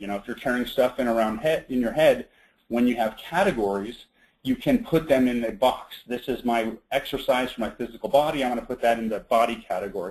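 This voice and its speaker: The pace of this man's speech is fairly quick. Pitch sits in the medium range and varies in an ordinary way. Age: 30s. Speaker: webinar presenter on time management. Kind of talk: online seminar presentation. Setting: web conference call. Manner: fast.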